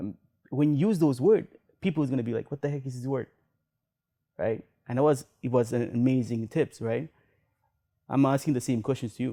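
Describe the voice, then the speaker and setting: The tone is dark and mellow, the pace fairly quick, broken by long, frequent pauses. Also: man, medium pitch for a man, ordinary pitch variation. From Sri Lanka, moved to Canada at 8. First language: not English (English is third language). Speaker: podcast host. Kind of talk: interview.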